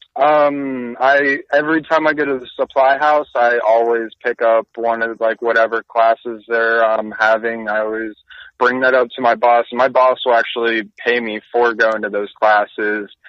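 A plain, everyday voice moves at a moderate pace with hardly any pauses. Its intonation is fairly even. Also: man, medium pitch for a man. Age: 20s. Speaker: HVAC technician. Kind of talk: casual chat.

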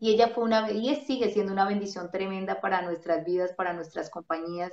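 A woman's medium-pitched voice, a normal speaking voice, at a fairly quick pace with ordinary pitch variation. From Colombia, Bogotá. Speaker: radio host and ministry figure. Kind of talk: interview, casual testimony. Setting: video call.

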